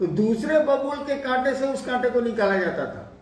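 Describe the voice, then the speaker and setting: Audible room echo and noticeable background noise accompany a man's voice. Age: 70s. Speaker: spiritual teacher. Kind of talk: spiritual discourse answering a question.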